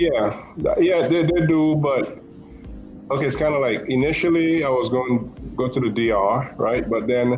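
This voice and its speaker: A man with an American accent speaks at a moderate pace in a fairly high pitch, his loudness very even and his pitch varying in an ordinary way, with audible room echo around him. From Caribbean, US Virgin Islands (Saint Thomas). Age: 50s. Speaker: expat interviewee. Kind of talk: casual interview chat. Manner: halting, many fillers and repeats.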